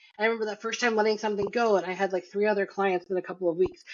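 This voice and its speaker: Very rapid speech from a woman at a fairly high pitch. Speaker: marketing agency founder. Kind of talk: interview. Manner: fast.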